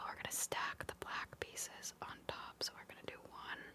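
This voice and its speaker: A woman whispers in a calm tone at a moderate pace over noticeable background noise. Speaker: ASMR content creator. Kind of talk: ASMR LEGO building narration. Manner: soft-spoken, whispered, calm.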